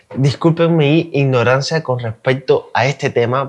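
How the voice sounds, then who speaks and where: A man's normal speaking voice, medium in pitch, with fairly even intonation and a quiet background. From Cuba. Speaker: YouTube reaction creator. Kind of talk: casual reaction commentary.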